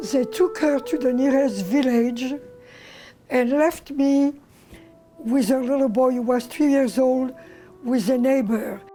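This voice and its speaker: Against music in the background, a woman with a high pitch speaks at a fairly slow pace, with ordinary pitch variation and long, frequent pauses. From France. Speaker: Holocaust survivor. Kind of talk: oral history testimony.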